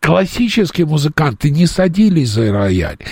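A somewhat breathy man at a moderate pace, pitched fairly high. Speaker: radio host. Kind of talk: radio interview.

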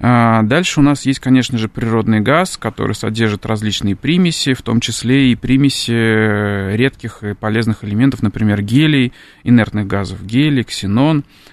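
A man with an unremarkable speaking voice keeps a moderate pace, a medium pitch and ordinary pitch variation. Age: young. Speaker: chemistry professor. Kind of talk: radio interview. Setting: radio studio.

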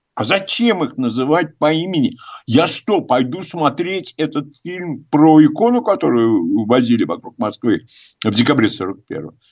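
A man speaks at medium pitch and a moderate pace. His tone is slightly mellow, with lively intonation.

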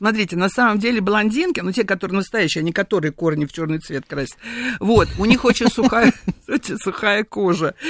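In a dry, close sound with no echo and noticeable background noise, a woman of medium pitch talks at a fairly quick pace with lively intonation. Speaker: perfumer. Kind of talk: radio interview. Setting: studio. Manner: animated.

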